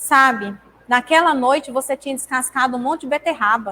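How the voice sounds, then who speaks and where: A woman speaks at a moderate pace. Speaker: spiritist lecturer. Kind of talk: talk at a spiritist centre. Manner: relaxed, informal.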